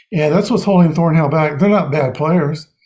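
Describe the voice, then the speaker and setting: Somewhat breathy with a dark, mellow tone, a man speaks at a moderate pace in a fairly high pitch with ordinary pitch variation. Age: 60s. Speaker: NFL picks show host. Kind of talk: casual chat.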